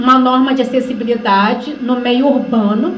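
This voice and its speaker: A woman speaks at a high pitch with fairly even intonation. Audible room echo and noticeable background noise accompany her voice. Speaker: workshop facilitator. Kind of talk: lecture.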